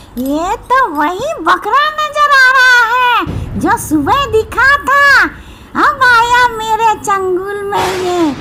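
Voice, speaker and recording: A female-sounding cartoonish character voice speaks at an extremely high pitch and a very slow pace. Loud background noise fills the clip. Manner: menacing, greedy.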